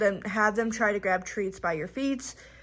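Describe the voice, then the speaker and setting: A woman's fairly high voice moves at a moderate pace with fairly even intonation. The recording is very clean with a silent background. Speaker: dog trainer vlogger. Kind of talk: tutorial; reading aloud. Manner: halting; high-pitched training voice with the dog.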